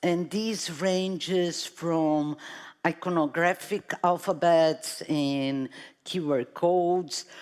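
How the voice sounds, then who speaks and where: Her fairly low voice moves at a very slow pace, and the woman keeps her intonation fairly even. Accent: Brazilian. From Brazil, São Paulo. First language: Portuguese. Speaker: artist. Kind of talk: panel talk.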